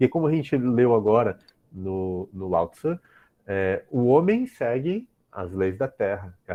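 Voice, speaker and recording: A man with a plain, everyday voice, medium pitch and lively intonation. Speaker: professor. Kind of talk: lecture.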